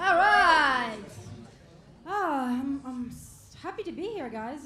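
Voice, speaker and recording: In a Russian accent, the speaker uses a raised, projected voice and lively intonation, with audible room echo and noticeable background noise. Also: woman. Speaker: stand-up comedian. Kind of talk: stand-up. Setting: stage with audience.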